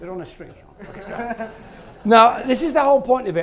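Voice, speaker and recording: A man with a Yorkshire accent. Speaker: maths author and presenter. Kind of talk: live stand-up maths show in a pub. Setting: pub.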